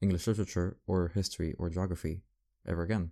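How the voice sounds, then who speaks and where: Here a man talks at a moderate pace. His pitch is very deep and low, and his tone is dark and mellow. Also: very clean recording, silent background. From France (Paris). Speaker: student podcaster. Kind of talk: casual solo monologue. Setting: home at night, late-night recording. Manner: rambling, self-correcting.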